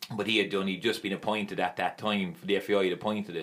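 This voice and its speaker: A man speaks at a very fast pace. He has a strong Limerick accent. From Ireland, Limerick. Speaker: former footballer and youth coach. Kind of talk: casual chat.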